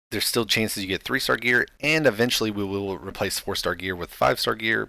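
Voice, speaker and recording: The recording is very clean, with a silent background. A man with a fairly low pitch and a bright, sharp tone talks at a fairly quick pace. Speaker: gaming YouTuber. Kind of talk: gameplay commentary. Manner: casual, many filler words.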